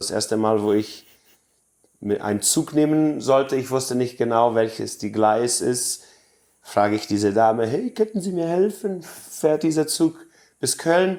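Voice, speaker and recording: A man speaks at medium pitch with lively intonation. His pace is fairly slow, with long, frequent pauses. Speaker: Mennonite colony resident. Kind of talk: interview. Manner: halting, with fillers.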